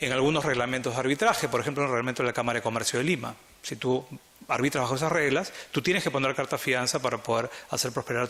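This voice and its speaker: Amid noticeable background noise, the speaker races at a very fast pace with ordinary pitch variation. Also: man. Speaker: arbitration lawyer, conference panelist. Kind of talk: conference talk.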